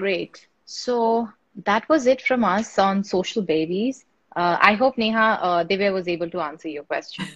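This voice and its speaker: Against a quiet background, a woman with an ordinary speaking voice talks at a moderate pace, her medium pitch showing ordinary variation. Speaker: webinar host. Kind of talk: live webinar moderation.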